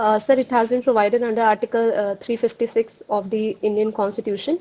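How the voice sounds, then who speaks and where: A woman speaks at a fairly quick pace. Her fairly high voice stays monotone and flat. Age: 20s. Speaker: job interview candidate. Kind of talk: mock job interview. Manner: hesitant, many fillers; formal, polite.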